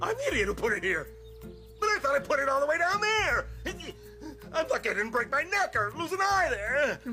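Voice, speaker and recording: A man performs a put-on character voice. Music is clearly audible in the background. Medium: fan dub. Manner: blustering, talks to himself.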